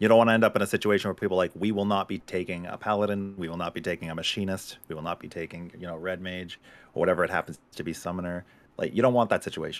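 Very deep and low, a man's voice with a slight Boston accent races along at a very fast pace with fairly even intonation. His loudness swings widely, and the recording is very clean with a silent background. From Boston area, US. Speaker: gaming streamer. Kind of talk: casual chat. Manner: joking, goofy.

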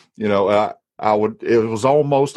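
A man with a strong Alabama accent against a quiet background. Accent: strong Southern US (Alabama). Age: 30s. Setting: back porch, recording at home.

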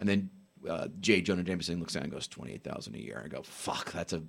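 Talking at a very fast pace, a man uses a bright, sharp tone with vocal fry. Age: 40s. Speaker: comedian and podcaster. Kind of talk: casual chat.

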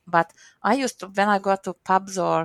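Recorded with a dry, close sound and no echo, a woman speaks at a medium pitch with a strong Hungarian accent. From Hungary, Miskolc. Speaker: program manager. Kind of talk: interview.

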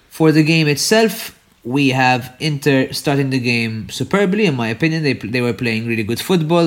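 A man speaks with a non-native accent and lively intonation. His pace is moderate. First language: not English. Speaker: football podcast co-host. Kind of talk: casual chat.

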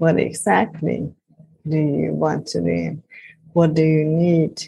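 The speaker goes at a very slow pace. Long pauses come often. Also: woman. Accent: Hungarian. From Hungary. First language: Hungarian. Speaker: life and business coach. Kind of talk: interview.

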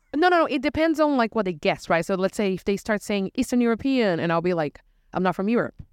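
In a Portuguese accent, a woman races along at a very fast pace with a medium pitch, very wide pitch swings and a playful, animated tone, the sound dry and close with no echo. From Brazil. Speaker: bartender and podcast host. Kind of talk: casual chat podcast.

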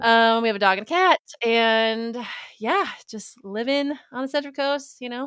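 A woman with an American accent uses a normal speaking voice at a moderate pace. Her fairly high pitch has ordinary variation, and her loudness swings widely. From Minnesota, later California Bay Area. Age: 30s. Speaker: mom and content creator. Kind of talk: casual chat.

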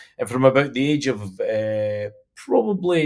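A man with a northeast Scottish accent on a very clean recording with a silent background. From Scotland, Stonehaven, Aberdeenshire. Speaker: fishing industry association chief executive. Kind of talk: interview.

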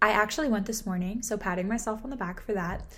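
A woman speaks at a medium pitch with an American accent and ordinary pitch variation. Audible room echo surrounds her voice. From Southern California. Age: 20s. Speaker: podcast host and marketing agency founder. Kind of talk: solo podcast monologue. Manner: animated.

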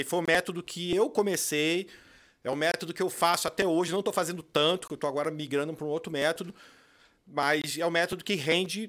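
Talking very fast, a man holds a high pitch with fairly even intonation. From Brazil, Rio de Janeiro. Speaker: online seller and course creator. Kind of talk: casual interview.

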